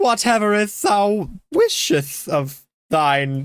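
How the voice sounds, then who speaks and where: In a put-on character voice, the speaker talks at a very slow pace with a fairly high pitch and very wide pitch swings. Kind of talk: archaic, formal.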